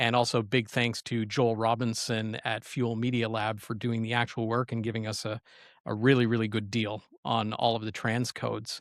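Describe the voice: A man at medium pitch and moderate pace, little pitch movement, dry and close with no echo, in a very clean recording with a silent background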